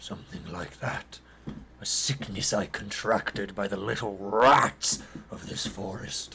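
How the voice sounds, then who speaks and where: Using a put-on character voice, a man talks at a fairly low pitch and a fairly slow pace with clear background noise. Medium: actual play. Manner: terse, clipped broken speech.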